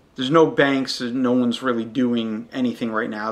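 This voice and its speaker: A man's bright, sharp voice at a medium pitch, very fast, with fairly even intonation. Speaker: podcast host. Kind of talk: solo podcast monologue. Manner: loud.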